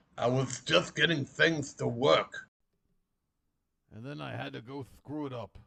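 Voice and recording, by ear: Speaking at a fairly slow pace, the voice has a bright, sharp tone, vocal fry and ordinary pitch variation. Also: man, medium pitch for a man.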